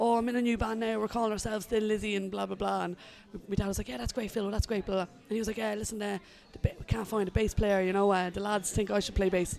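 A woman with an Irish accent talks at a very fast pace. Her medium-pitched voice keeps fairly even intonation. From Ireland. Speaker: musician and music journalist. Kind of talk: casual interview chat.

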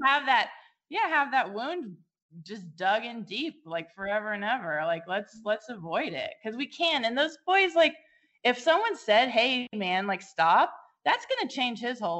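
The voice has an American accent. Its pitch swings very widely. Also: woman. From California. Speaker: nonprofit founder for girls. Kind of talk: casual interview chat.

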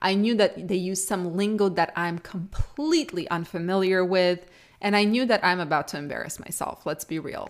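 A woman speaks at a moderate pace with an Eastern European accent, her medium pitch showing ordinary variation. The recording is very clean, with a silent background. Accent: Eastern European-tinged English, noticeable. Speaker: trucking podcaster and YouTuber. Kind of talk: casual solo podcast monologue. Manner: conversational, personal, chatty.

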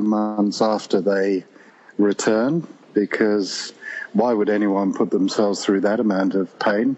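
A man's unremarkable speaking voice, fairly low in pitch, at a fairly slow pace with fairly even intonation. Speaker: pilgrim. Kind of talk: casual interview chat. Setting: phone call.

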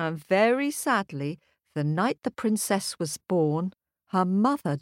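Plain reading aloud in quiet surroundings, the intonation lively

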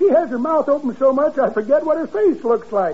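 A man puts on a cackling character voice at an extremely high pitch. He speaks at a fairly quick pace over light background noise. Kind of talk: 1940s radio comedy acting. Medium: old radio play. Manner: folksy, rambling, ungrammatical, cackling.

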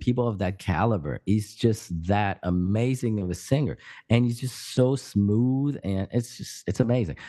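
In a French accent, a man with a dark, mellow tone and medium pitch speaks with lively intonation against a quiet background. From France, Paris area. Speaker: podcast co-host. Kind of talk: casual chat. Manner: halting.

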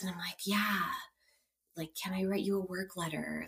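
Moderate-paced speech in a West Coast US accent. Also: woman. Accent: General American (West Coast). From US West Coast, San Francisco Bay Area. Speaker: clinical social worker. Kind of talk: casual interview, storytelling.

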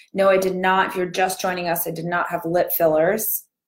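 A female-sounding voice puts on a raspy character voice at medium pitch, speaking at a fairly quick pace. The intonation stays monotone and flat. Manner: barely opening mouth, quiet, fish-like.

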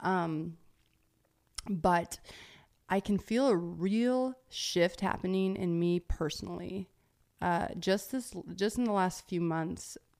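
The speaker moves at a very slow pace, leaving long, frequent pauses, with ordinary pitch variation. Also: woman, medium pitch for a woman. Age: 30s. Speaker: podcast host. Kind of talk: casual Q&A monologue. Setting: Instagram live video. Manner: casual, with frequent laughs and fillers.

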